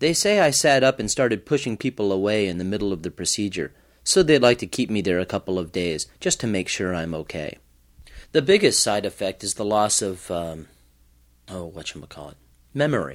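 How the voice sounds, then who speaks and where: A man with an ordinary speaking voice, fairly low in pitch, talks at a fairly quick pace with lively intonation in a very clean recording with a silent background. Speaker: psychiatric patient. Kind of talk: first-person narration.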